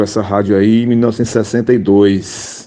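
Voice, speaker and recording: At a moderate pace, a man with a normal speaking voice talks in a fairly low pitch and fairly even intonation. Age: 60s. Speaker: radio comedian. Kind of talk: interview.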